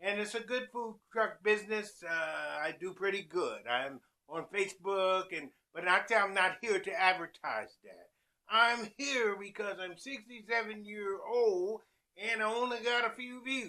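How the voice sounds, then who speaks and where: Speaking at a fairly slow pace, a man uses a raised, projected voice that is high-pitched, bright and sharp in tone, with ordinary pitch variation and big swings in loudness. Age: 60s. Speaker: chef and food truck owner. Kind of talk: casual vlog monologue.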